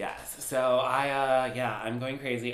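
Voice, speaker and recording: A man speaks at medium pitch. Noticeable background noise runs behind him. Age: 30s. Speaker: podcast co-host. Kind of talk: casual chat.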